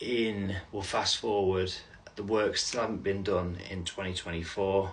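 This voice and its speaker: A man with a fairly low pitch talks at a fairly slow pace in a monotone, flat way over noticeable background noise. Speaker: vlogger. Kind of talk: personal update video. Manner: halting.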